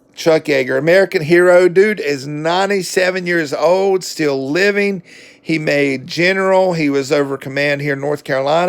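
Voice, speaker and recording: With a Southern US accent, a man speaks at a high pitch. His pace is moderate and his pitch variation ordinary. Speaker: book reviewer. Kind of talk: casual book review monologue. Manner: casual, with fillers and hesitations.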